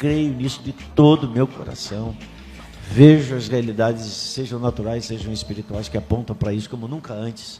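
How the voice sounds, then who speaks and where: Amid noticeable background noise, a man with a medium pitch speaks with big swings in loudness. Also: ordinary pitch variation, moderate pace. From Rio de Janeiro, Complexo do Alemão. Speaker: apostle and church leader. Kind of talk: casual chat.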